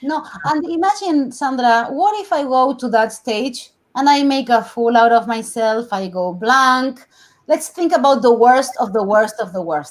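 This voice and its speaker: Speaking slowly-ish with a Spanish accent, a woman uses a high pitch that swings very widely at a fairly slow pace. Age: 40s. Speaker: TV host and journalist. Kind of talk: interview.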